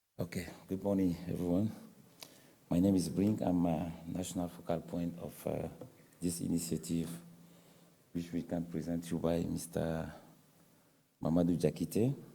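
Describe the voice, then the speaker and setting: A man with a very deep, low pitch and a dark, mellow tone speaks at a moderate pace in a monotone, flat intonation. Long, frequent pauses break up his speech, and audible room echo surrounds it. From Cameroon. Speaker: government focal point for forest restoration. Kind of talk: conference presentation. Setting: conference panel with audience. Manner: halting.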